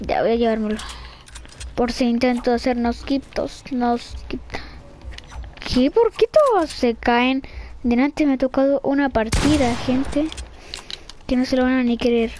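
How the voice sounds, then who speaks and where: A woman with a Chilean accent and high pitch speaks at a fairly slow pace with long, frequent pauses over noticeable background noise. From Chile, Santiago. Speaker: gaming streamer. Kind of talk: live gameplay commentary. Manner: animated.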